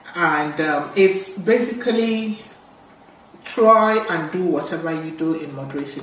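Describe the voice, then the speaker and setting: A woman with a medium pitch talks at a fairly slow pace, her intonation lively and her loudness swinging widely. Noticeable background noise and audible room echo are present. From Nigeria (Igbo). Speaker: doctor. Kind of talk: health podcast interview.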